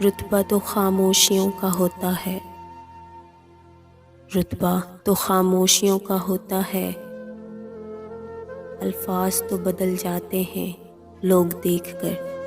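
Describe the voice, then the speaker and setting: With music playing in the background, a woman speaks with long, frequent pauses. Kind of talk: poetry reading. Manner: slow, sorrowful.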